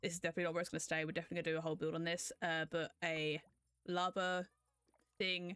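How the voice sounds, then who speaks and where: Speaking very fast, a woman with a British accent uses a fairly low pitch. The sound is dry and close, with no echo. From Britain. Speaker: gaming YouTuber and streamer. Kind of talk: casual let's-play voiceover commentary. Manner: casual, hesitant with many fillers.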